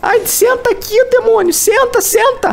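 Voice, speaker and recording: A woman's squeaky, put-on character voice at an extremely high pitch, with fairly even intonation and a fairly slow pace, over clear background noise. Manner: frantic yelling.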